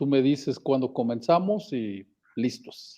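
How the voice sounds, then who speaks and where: Against a quiet background, a man talks at a fairly slow pace with a fairly high pitch and a dark, mellow tone. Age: 60s. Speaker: geotechnical engineer. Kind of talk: podcast interview.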